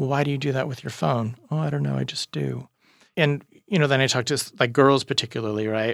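Very fast male speech at medium pitch, with ordinary pitch variation. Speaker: therapist and speaker. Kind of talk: interview conversation, podcast.

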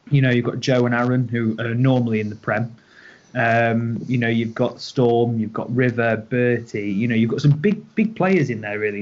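With a British accent, a man speaks at a medium pitch and a moderate pace. His intonation is fairly even, and the background noise is noticeable. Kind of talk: casual chat.

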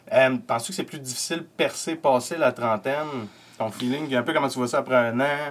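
At a fairly quick pace, a man speaks in a Quebec accent. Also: medium pitch for a man, ordinary pitch variation. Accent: Québécois French. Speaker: podcast host and comedian. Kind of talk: casual chat. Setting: home studio.

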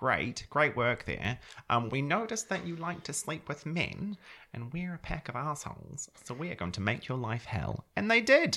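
This voice has a bright, sharp tone and vocal fry, with very wide pitch swings. It moves at a moderate pace in a New Zealand accent. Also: man, fairly high pitch for a man. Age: 30s. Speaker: podcast co-host. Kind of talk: casual chat.

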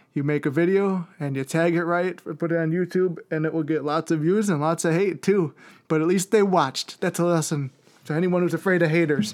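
On a very clean recording with a silent background, a man with an American accent speaks at a high pitch. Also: fairly quick pace. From Chicago, South Side. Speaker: actor and content creator. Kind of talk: casual interview.

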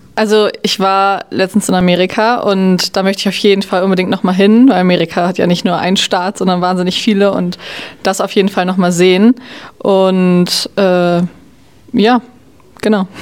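A woman speaks at a moderate pace in a medium pitch, with monotone, flat intonation. Noticeable background noise is present. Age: 20s. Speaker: generation Z interviewee. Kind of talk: interview answers.

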